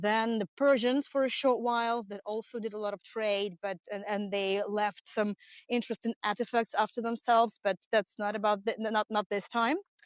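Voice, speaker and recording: A woman with a Russian accent and fairly high pitch speaks at a moderate pace with fairly even intonation and hardly any pauses, the sound dry and close with no echo. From Russia, St Petersburg. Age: 30s. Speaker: tour guide. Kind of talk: live-streamed guided tour. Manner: halting.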